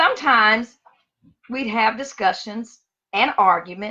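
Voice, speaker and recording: The voice has a Louisiana accent and a bright, sharp tone. It moves at a very slow pace with lively intonation. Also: woman. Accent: Southern US (Louisiana). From US South, Monroe, Louisiana. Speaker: teacher. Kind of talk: personal storytelling on livestream.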